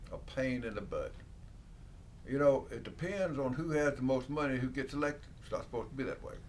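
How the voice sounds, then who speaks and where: A man speaks with an Alabama accent. His pace is moderate. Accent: Southern US (Alabama). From US South, Alabama (Dothan). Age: 70s. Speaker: country lawyer. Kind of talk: interview answers, casual. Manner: halting, with repetitions and fillers.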